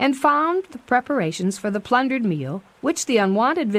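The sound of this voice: This is an unforced reading voice. The words are read out that way.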